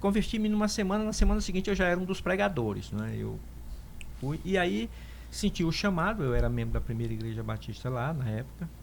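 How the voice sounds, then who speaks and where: Audible room echo follows this man as he speaks at a fairly quick pace. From Northeast Brazil (Piauí). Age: 60s. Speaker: pastor and theologian. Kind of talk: interview testimony.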